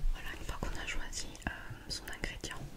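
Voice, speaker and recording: Fairly slow delivery from a woman. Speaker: ASMR creator. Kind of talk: ASMR whisper video, casual talk to camera. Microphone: studio mic.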